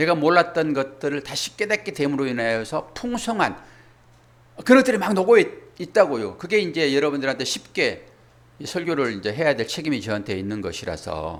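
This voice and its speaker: Vocal fry marks a man's fairly high-pitched voice. He talks at a fairly quick pace with very wide pitch swings. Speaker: pastor. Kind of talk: sermon. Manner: fast when covering much material.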